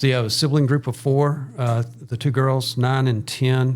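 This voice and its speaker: Music plays in the background as the voice shows ordinary pitch variation. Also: man. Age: 60s. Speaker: church missions minister. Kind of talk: podcast interview.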